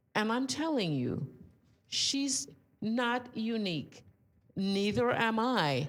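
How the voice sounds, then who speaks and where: A woman speaks at a very slow pace, with long, frequent pauses and pitch that swings very widely around a fairly high level. Room echo is audible. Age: 80s+. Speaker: audience member. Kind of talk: audience comment at a talk.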